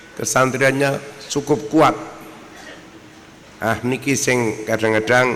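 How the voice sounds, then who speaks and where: A man's medium-pitched voice at a very slow pace, fairly even in intonation, with noticeable background noise and audible room echo. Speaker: Islamic cleric. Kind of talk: religious lecture. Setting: outdoor gathering with audience. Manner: soft-spoken.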